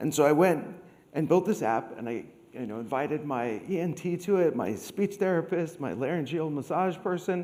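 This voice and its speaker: The room echo is clearly audible. A man speaks at a moderate pace. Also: fairly high pitch for a man. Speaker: conference speaker. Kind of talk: conference talk. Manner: halting.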